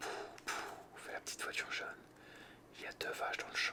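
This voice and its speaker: Whispering in a calm tone, the speaker is heard. Noticeable background noise sits behind the voice. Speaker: ASMR creator. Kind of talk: bedtime story reading. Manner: whispered; calm, relaxing.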